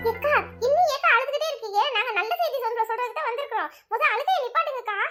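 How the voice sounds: A woman does a cartoonish character voice at extremely high pitch, with lively intonation and a fairly quick pace. Faint music plays in the background.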